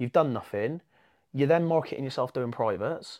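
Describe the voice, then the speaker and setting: Against a quiet background, a man talks at a fairly quick pace with an English accent. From England. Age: 30s. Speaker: jiu-jitsu competitor. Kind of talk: casual chat.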